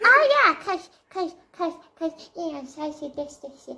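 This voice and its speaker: A man puts on a character voice, pushing it to an extremely high pitch. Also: fairly slow pace. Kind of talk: improvised role play. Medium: role play. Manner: pompous, old-fashioned.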